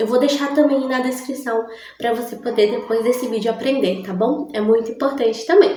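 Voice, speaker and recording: With audible room echo behind her, a woman speaks at a high pitch with ordinary pitch variation. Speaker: English teacher. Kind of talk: tutorial. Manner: slow, deliberate.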